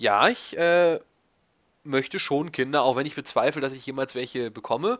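The man's pitch is fairly high, with ordinary variation. He keeps a moderate pace against a quiet background. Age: 20s. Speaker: YouTuber answering viewer questions. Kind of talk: casual monologue, Q&A video. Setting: home recording in desk chair. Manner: rambling, talkative.

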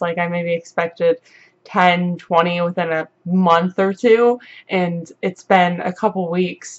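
At a fairly slow pace, a woman talks in a fairly low pitch. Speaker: vlogger. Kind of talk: casual talk to camera. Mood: grateful, upbeat. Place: home room. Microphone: webcam.

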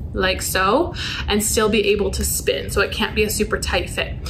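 The speaker is a woman. Light background noise is present. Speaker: youth club instructor. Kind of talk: tutorial. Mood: friendly, upbeat. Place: classroom. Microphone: camera far.

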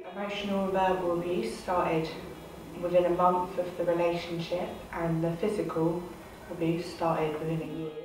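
A woman's fairly low, monotone, flat delivery at a moderate pace, with audible room echo and noticeable background noise. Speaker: youth commission member. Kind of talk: personal testimony to camera. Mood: serious, composed, personal account. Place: meeting room.

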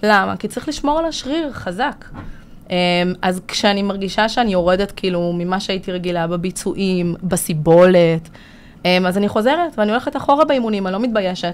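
A woman talks with lively intonation and a moderate pace. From Israel, immigrated from Latvia at six. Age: 30s. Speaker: business consultant and trainer; trainer. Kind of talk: casual interview. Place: studio. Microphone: studio mic.

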